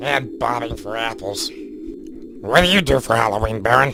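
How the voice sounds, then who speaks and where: A man puts on a character voice at a medium pitch, with clear background noise behind him. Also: moderate pace. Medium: comedy sketch. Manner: rambling.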